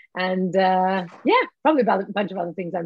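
A woman speaks with an Australian accent. The sound is dry, with no echo. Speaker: cannabis education company founder; guest. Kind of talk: interview. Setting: video call. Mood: friendly, smiling. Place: home room. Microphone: video call.

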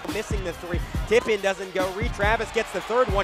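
A man's ordinary pitch variation carries over music in the background. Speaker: sports commentator. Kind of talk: basketball play-by-play commentary. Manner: excitable.

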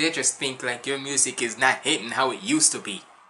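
A man talks at a fairly quick pace. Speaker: reaction video creator. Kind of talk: casual reaction commentary. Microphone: earbuds.

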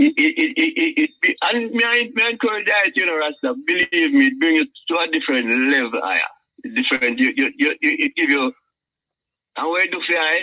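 A man's raised, projected voice at an extremely high pitch, with a bright, sharp tone, very wide pitch swings, a moderate pace, and a dry, close sound with no echo. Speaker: caller. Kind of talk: call-in debate. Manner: halting.

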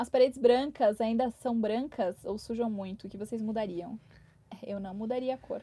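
A woman's voice sits fairly high, with a dark, mellow tone. It is somewhat breathy, and her intonation stays fairly even. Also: moderate pace. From Brazil. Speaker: travel vlogger. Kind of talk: live stream chat. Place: home room. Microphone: lapel.

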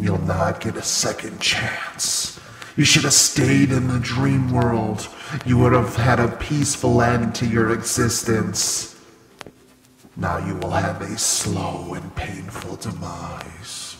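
Lively intonation marks this man's medium-pitched voice. He speaks at a fairly slow pace with a slight echo. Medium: audio drama. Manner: cold, menacing, contemptuous.

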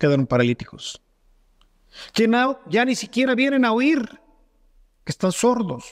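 An extremely high-pitched man talks with an animated tone and lively intonation, leaving long, frequent pauses. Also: fairly slow pace. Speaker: priest. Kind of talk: sermon. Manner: rhetorical.

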